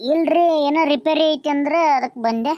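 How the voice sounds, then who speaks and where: A woman performs a cartoonish character voice, pitched high, with fairly even intonation. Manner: polite, deferential.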